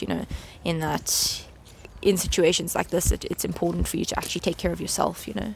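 Noticeable noise fills the background. Over it, a woman talks very fast. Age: 20s. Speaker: master's student. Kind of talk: casual interview. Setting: outdoors walking in a park. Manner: halting.

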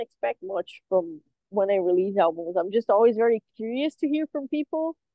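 In a Portuguese accent, a woman speaks fairly high in pitch at a moderate pace with very wide pitch swings. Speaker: metal drummer. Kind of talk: interview. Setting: on tour.

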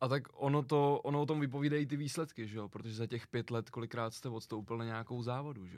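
This man talks at a very fast pace with hardly any pauses, at a medium pitch and with ordinary pitch variation. His loudness swings widely on a very clean recording with a silent background. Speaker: podcast host. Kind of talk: interview.

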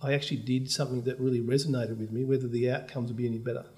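A man with an Australian accent talks in a dark, mellow tone that is somewhat breathy. His intonation stays fairly even. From Australia, Melbourne. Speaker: bank CEO. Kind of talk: interview.

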